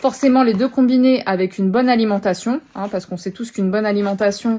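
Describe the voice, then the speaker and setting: The tone is dark and mellow, while the pitch varies in an ordinary way. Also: woman. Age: 20s. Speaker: product seller, new mother. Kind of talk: product presentation sales pitch. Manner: casual with frequent hesitations.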